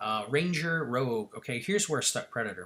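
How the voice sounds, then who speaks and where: A man speaks at a fairly quick pace in a bright, sharp tone. His pitch varies in an ordinary way. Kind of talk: casual commentary on game. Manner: hesitant, many fillers.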